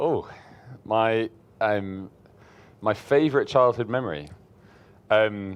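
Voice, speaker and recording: A man with an English accent, ordinary pitch variation, and a quiet background. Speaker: preacher. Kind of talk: interview.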